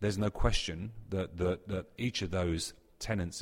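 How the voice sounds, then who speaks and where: A man speaks with a British accent in a somewhat breathy voice. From UK. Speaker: technology company executive. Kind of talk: interview. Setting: conference event.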